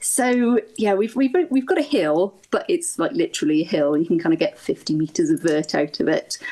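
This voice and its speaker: Her tone is dark and mellow, with a South Wales accent. This woman speaks at a fairly quick pace with lively intonation. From Wales, Swansea and the Gower. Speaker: ultra runner. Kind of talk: podcast interview.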